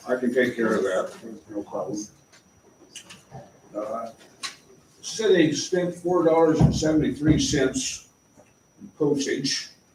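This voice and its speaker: Pausing long and often, a man speaks at a very slow pace with audible room echo. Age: 80s. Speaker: local resident addressing city council. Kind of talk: public comment at council meeting. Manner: halting, many filler sounds.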